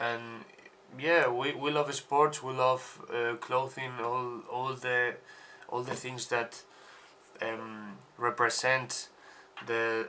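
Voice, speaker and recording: With a Spanish accent, a man speaks at a medium pitch and a very slow pace, using monotone, flat intonation and long, frequent pauses. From Spain. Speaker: podcast co-host, sportswear brand founder. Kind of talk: casual podcast chat. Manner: halting, repetitive stumbles.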